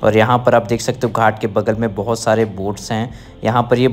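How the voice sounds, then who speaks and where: A man is speaking. His pace is moderate. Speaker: travel vlogger. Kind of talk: casual vlog chat. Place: waterside. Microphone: phone near.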